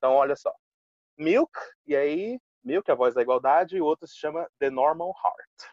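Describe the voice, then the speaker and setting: With an ordinary speaking voice, a man speaks at a moderate pace in a fairly high pitch with ordinary pitch variation. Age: 20s. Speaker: English teacher. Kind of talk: casual chat.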